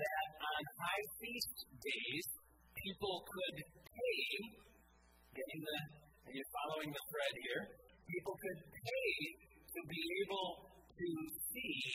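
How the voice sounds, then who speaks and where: The delivery is very slow, broken by long, frequent pauses. Music plays in the background. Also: man. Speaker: pastor. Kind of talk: sermon. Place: church.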